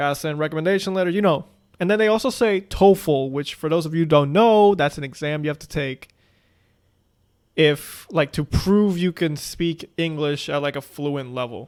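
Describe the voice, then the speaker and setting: A man with a Puerto Rican accent speaks in a fairly high pitch on a very clean recording with a silent background. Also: ordinary pitch variation, moderate pace. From Puerto Rico. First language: Spanish. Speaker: podcast co-host. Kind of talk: casual chat.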